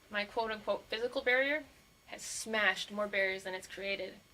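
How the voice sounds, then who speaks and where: A woman rattles through her words at a very fast pace as noticeable background noise plays underneath. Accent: American. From Montana. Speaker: physical therapist. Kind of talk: career talk to students. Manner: animated.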